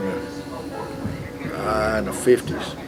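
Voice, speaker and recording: A man with a West Texas accent, with noticeable background noise. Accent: West Texas drawl. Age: 70s. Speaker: small-town resident interviewed. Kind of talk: casual interview. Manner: halting, repeats words.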